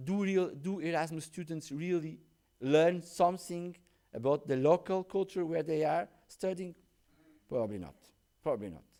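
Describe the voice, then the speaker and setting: A man's high-pitched voice with a dark, mellow tone, big swings in loudness, long and frequent pauses, and a moderate pace. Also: ordinary pitch variation. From Portugal. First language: Portuguese. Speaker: professor. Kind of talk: conference talk. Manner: halting, frequent restarts.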